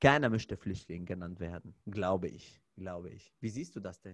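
The background is silent on a very clean recording. A man talks at a fairly slow pace. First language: Arabic (speaking German). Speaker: podcast host, fitness trainer. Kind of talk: casual chat.

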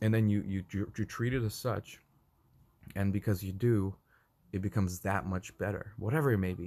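A man's somewhat breathy voice has a dark, mellow tone and long, frequent pauses. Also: fairly low pitch for a man, fairly even intonation, moderate pace. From Russia. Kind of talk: casual chat. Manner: halting, many repeated words.

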